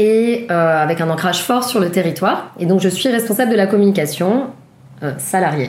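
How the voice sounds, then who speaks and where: A woman talks at a medium pitch. Noticeable background noise sits behind her. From Paris, France. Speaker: communications project manager. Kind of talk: interview. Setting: guest's apartment.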